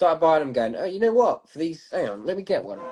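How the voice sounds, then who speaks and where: This man speaks with a British accent at a high pitch. His voice makes very wide pitch swings. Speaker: guest. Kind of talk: casual chat.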